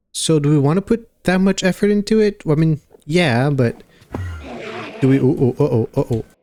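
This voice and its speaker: Against music in the background, a man with a fairly high pitch talks at a moderate pace with lively intonation, very even loudness and long, frequent pauses, the sound dry and close with no echo. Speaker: gaming youtuber. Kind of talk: gameplay commentary. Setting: home recording at night. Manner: casual, hesitant with fillers.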